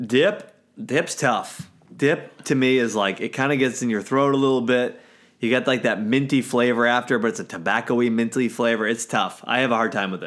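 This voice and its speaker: On a very clean recording with a silent background, a man speaks in a plain, everyday voice at medium pitch, moderate pace and with ordinary pitch variation. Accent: American. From US Mid-Atlantic, north of Washington DC. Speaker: podcast co-host. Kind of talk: casual chat.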